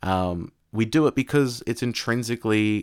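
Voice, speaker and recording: A man with an Australian accent speaks at a fairly low pitch, his intonation lively. The sound is dry and close with no echo, on a very clean recording against a silent background. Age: 20s. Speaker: podcast host, tutor. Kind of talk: monologue on philosophy. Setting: live audio app.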